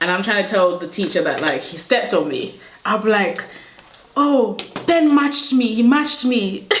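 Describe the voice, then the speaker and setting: A woman with a fairly high pitch talks at a moderate pace, her tone animated and her pitch swinging very widely. Noticeable background noise and audible room echo surround her voice. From Nigeria, moved to the UK aged about 8. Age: 20s. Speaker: beauty YouTuber. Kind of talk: casual chat while doing makeup. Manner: chatty, animated.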